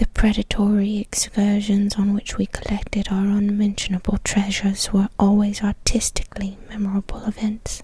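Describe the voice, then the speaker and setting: In a put-on character voice, a soft-spoken woman talks at a moderate pace and medium pitch, shaky and monotone with flat intonation and hardly any pauses, over light background noise. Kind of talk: whispered horror reading. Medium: read story. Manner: soft, trembling with fear.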